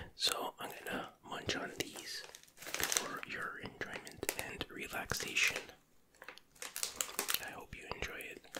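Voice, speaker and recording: The speaker whispers, soft-spoken and at a very slow pace, with long, frequent pauses. Loud background noise runs underneath. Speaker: food reviewer. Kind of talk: casual ASMR-style tasting chat. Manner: soft ASMR whisper.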